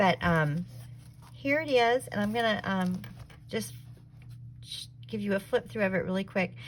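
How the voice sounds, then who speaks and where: A woman with a Southern US accent speaks at a moderate pace and a fairly low pitch. Her voice is somewhat breathy, with very wide pitch swings. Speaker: craft YouTuber. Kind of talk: casual video tutorial / show-and-tell.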